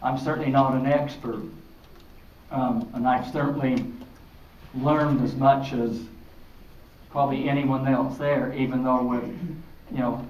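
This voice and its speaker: Through noticeable background noise and audible room echo, a man speaks in a medium-pitched, monotone, flat voice. His pace is fairly slow, with long, frequent pauses. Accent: American. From Utah, Draper area. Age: 60s. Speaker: city mayor on panel. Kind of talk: panel discussion.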